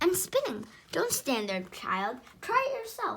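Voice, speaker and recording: A woman uses a put-on character voice, high-pitched and hissing, at a moderate pace. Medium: read story. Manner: menacing.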